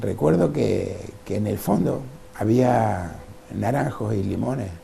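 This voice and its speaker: A man with a very deep, low voice talks at a fairly slow pace with very wide pitch swings, amid noticeable background noise and audible room echo. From Uruguay, Salto. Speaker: painter and former businessman. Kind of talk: interview. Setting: at home.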